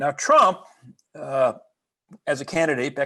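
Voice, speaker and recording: Over a quiet background, a man with an American accent speaks at a moderate pace in a bright, sharp tone at a fairly high pitch. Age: 70s. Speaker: historian and professor. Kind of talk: lecture. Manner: halting, many fillers and restarts.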